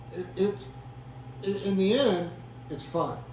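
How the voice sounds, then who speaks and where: There is noticeable background noise and audible room echo. A man with an American accent talks at a moderate pace. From Indiana, Madison County. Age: 70s. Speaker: land conservancy founder. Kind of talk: interview. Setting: at a kitchen table. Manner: halting, many repetitions.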